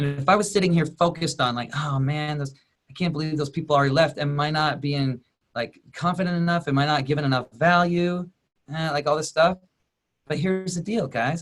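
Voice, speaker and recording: Fairly quick and somewhat breathy, a man speaks at a fairly high pitch. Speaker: life coach. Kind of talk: coaching webinar talk. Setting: online group video call. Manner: fast; energetic.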